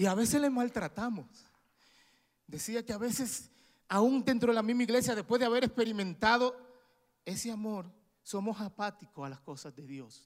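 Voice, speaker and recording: A man with a high voice speaks at a moderate pace, with lively intonation, big swings in loudness, and long, frequent pauses. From Dominican Republic. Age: 40s. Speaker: preacher. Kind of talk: sermon. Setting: church.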